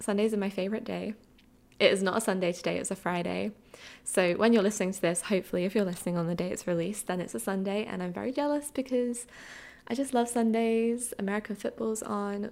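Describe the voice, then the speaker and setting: A woman with an Essex accent talks very fast at medium pitch with ordinary pitch variation. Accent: southern English (Essex). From Essex, England. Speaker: podcast host, film writer. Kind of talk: solo casual chat.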